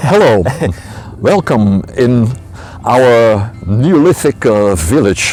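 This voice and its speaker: Music plays in the background as a man speaks at a very slow pace with long, frequent pauses. His pitch is medium, and his intonation is lively. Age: 60s. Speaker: archaeologist. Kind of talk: interview. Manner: halting.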